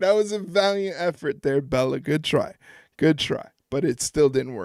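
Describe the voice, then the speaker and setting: Speaking in an ordinary speaking voice with an American accent, a man with a fairly high pitch uses lively intonation at a moderate pace in a very clean recording with a silent background and a dry, close sound with no echo. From New York. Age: 30s. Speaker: wrestling live-stream host. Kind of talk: live stream chat reacting to chat. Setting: live stream. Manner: casual, conversational.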